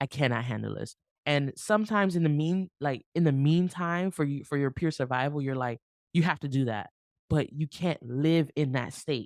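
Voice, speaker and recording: A woman with an American accent speaks at a very deep, low pitch and moderate pace, with ordinary pitch variation and a dry, close sound with no echo. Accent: slight Haitian accent slips in. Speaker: marriage podcast host. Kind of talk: advice podcast monologue. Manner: conversational, animated.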